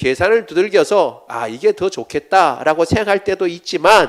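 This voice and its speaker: This man's pitch is high and his intonation lively. He keeps a moderate pace. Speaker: pastor. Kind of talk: sermon.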